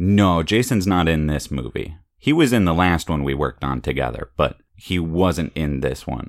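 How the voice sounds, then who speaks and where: With a very deep, low pitch, a man speaks at a moderate pace. His intonation is lively. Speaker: podcast host and father. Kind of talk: casual chat.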